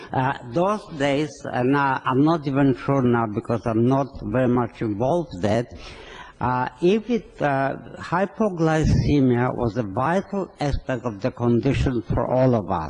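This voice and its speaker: The speaker has a strong non-native accent, lively intonation and very even loudness, with noticeable background noise behind. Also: man, medium pitch for a man, fairly slow pace. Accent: thick foreign. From Poland. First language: not English. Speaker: physician. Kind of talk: speech. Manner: halting.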